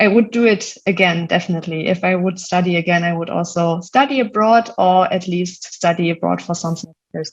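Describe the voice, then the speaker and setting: A woman with a fairly low voice talks at a fairly quick pace with hardly any pauses. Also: ordinary pitch variation. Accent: German. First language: German. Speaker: solutions manager at a tech company. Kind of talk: podcast interview. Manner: hesitant, many fillers.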